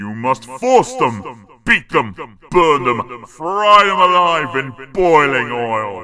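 In a put-on character voice, a man with a medium pitch speaks at a very slow pace. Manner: sinister, urging.

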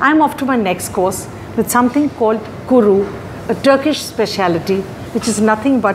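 Ordinary pitch variation marks a woman's speech over noticeable background noise. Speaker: food reviewer. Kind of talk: restaurant review to camera. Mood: warm, enthusiastic. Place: cafe. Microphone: lapel.

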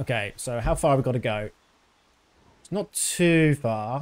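This man has a British accent and speaks fairly slowly. His intonation is lively. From Britain. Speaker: video game streamer. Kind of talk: live gameplay commentary. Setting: live stream. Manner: casual. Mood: calm, mildly amused. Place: home room. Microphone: studio mic.

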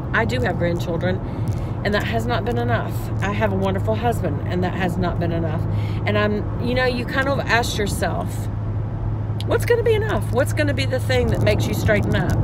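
A woman talks at a fairly quick pace over loud background noise, the sound dry with no echo. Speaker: vlogger. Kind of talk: casual vlog chat. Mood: earnest, reflective. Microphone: phone near.

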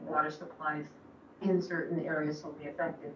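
A woman's voice carries an audible room echo, with light noise in the background. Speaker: radio guest. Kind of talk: interview answer. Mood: earnest, concerned. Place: studio. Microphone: camera far.

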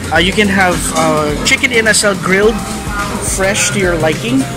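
Loud music plays in the background. A man speaks over it at a moderate pace. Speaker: food vlogger. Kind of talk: casual vlog commentary. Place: cafe. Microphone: phone near.

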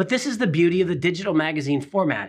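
A man talking, quiet background behind him. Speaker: magazine publisher host. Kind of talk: presenter commentary. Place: studio.

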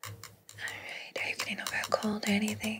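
A woman whispers at a moderate pace. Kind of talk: soft-spoken roleplay talk to viewer. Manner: soft, hushed close-mic ASMR voice. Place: home room.

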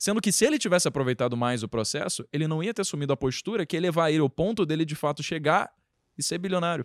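Lively intonation drives a man's very fast speech. The background is quiet and the sound is dry, with no echo. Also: fairly high pitch for a man. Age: 20s. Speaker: podcast host and content creator; podcast host, content creator. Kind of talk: podcast interview. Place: home room. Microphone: handheld.

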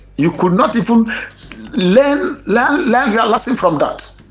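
A moderate pace in a Nigerian accent, with noticeable background noise. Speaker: online commentator on grant news. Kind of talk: angry monologue. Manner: impassioned, preacher-like.

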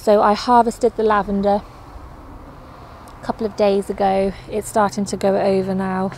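A woman speaks at a fairly slow pace. The sound is dry with no echo, with light background noise. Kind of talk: casual vlog chat. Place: garden. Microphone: phone near.

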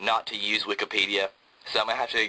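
Very fast male speech in a Southern US accent. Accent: Southern American. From Georgia, US South. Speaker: college student video reviewer. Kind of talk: product review tutorial. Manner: casual, filler-heavy. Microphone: phone near.

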